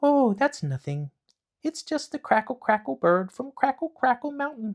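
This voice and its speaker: A man puts on a character voice pitched extremely high, keeping a moderate pace. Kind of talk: bedtime story. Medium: read story. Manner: sweet, innocent-seeming.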